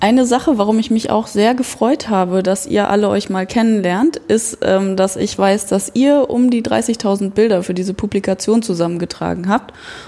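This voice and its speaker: With noticeable background noise behind her, a woman of medium pitch talks at a moderate pace, hardly pausing, her pitch varying in an ordinary way. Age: 30s. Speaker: art educator. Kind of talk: casual chat. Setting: artist's studio.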